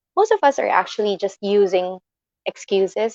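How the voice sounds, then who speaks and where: A woman with an unremarkable speaking voice talks at medium pitch and a moderate pace with ordinary pitch variation. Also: dry, close sound with no echo. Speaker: livestream host giving motivational talk. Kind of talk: motivational livestream talk. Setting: live stream with online audience.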